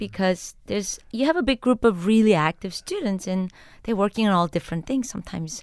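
With a Korean accent, a woman talks very fast at a medium pitch with lively intonation, in a very clean, dry, close recording with no echo and a silent background. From Korea, then New York City from 13. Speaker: chemist. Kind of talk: interview. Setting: studio.

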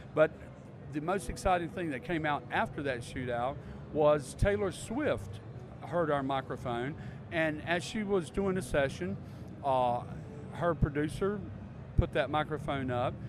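Pausing long and often, a man with a Southern US accent talks at a fairly slow pace in a fairly high voice. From US South. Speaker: microphone company representative. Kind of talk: interview. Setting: trade show floor.

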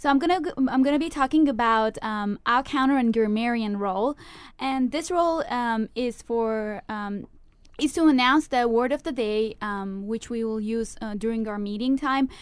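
A woman with a non-native accent speaks at a moderate pace. The recording is very clean, with a silent background. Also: fairly high pitch for a woman, ordinary pitch variation. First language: not English. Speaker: university student, club vice president. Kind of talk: radio interview. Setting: radio studio. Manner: hesitant, many fillers.

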